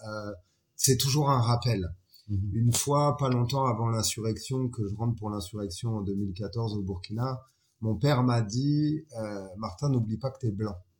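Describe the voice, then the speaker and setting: This man has a medium pitch, a somewhat breathy voice and a slight West African accent. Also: very clean recording, silent background. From France, Chalon-sur-Saône. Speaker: photographer and filmmaker. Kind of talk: casual interview.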